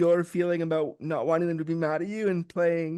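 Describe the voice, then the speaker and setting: A high-pitched man talks at a fairly quick pace over a quiet background. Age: 40s. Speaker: podcast host. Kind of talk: casual interview.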